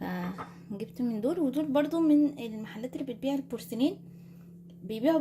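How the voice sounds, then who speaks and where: A woman with an Egyptian accent speaks at a moderate pace with lively intonation. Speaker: lifestyle vlogger. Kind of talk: product haul video. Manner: casual chatty.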